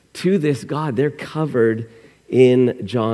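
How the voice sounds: A natural reading voice, pitch shifting the usual amount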